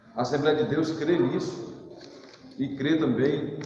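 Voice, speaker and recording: Over noticeable background noise, a man speaks in a fairly high pitch with ordinary pitch variation. Room echo is audible. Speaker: Sunday school teacher. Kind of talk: Bible class lesson. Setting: church. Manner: halting, with many fillers.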